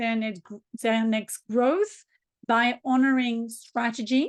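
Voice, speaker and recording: Speaking at a fairly slow pace against a quiet background, a woman with a high pitch and a strong French accent keeps her intonation fairly even. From southern France. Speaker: business coach and spiritual practitioner. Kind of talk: interview.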